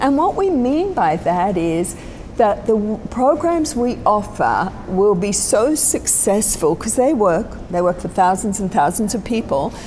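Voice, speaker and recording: Speaking in an Australian accent at a fairly slow pace, the voice leaves hardly any pauses. Pitch swings are very wide, with noticeable background noise behind it. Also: woman, fairly high pitch for a woman. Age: 60s. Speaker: spiritual teacher. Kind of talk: interview. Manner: reflective, with many fillers.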